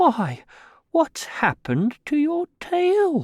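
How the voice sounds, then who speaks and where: A put-on character voice speaks at a high pitch and a very slow pace. The recording is very clean, with a silent background. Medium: read story. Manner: kindly, simple.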